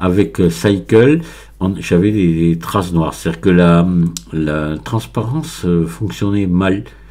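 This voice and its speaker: A man's very deep, low voice with ordinary pitch variation at a very slow pace. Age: 60s. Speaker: Blender tutorial maker. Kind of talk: tutorial. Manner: halting, many hesitations.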